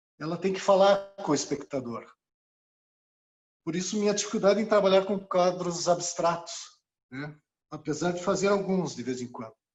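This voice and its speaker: The speech moves at a moderate pace with ordinary pitch variation and big swings in loudness. Long, frequent pauses run throughout. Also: man, high pitch for a man. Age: 60s. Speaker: retired engineer and visual artist. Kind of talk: personal testimony at online exhibition. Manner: halting, with many fillers.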